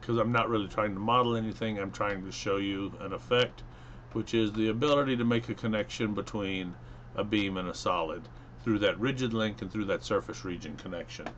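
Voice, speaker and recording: Quickish and fairly even in intonation, a man with fairly low pitch talks in a plain, everyday voice at a fairly quick pace. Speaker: engineering instructor. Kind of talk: software tutorial. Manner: casual, with fillers.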